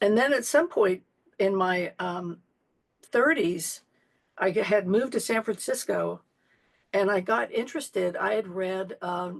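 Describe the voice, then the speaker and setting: With vocal fry and a medium pitch, a woman talks at a fairly slow pace with lively intonation and long, frequent pauses. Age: 70s. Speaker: Zen priest and teacher. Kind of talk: interview conversation.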